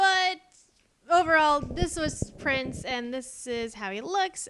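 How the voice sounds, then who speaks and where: In an American accent, a woman speaks very slowly at a high pitch, with very wide pitch swings and big swings in loudness. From Texas. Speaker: art YouTuber. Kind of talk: casual voiceover commentary. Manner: rambling, hesitant with many fillers.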